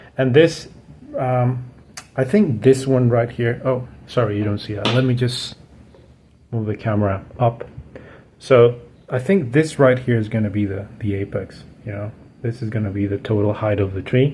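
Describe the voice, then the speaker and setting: A man with a medium pitch and a dark, mellow tone speaks at a moderate pace, somewhat breathy. His pitch varies in an ordinary way, and he takes long, frequent pauses. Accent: non-native. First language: not English. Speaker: bonsai hobbyist YouTuber. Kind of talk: tutorial. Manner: casual, relaxed.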